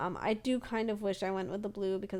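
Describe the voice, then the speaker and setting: Speaking at a fairly quick pace, a woman is heard on a very clean recording with a silent background. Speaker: gaming YouTuber and streamer. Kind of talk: voiceover commentary. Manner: fast; energetic.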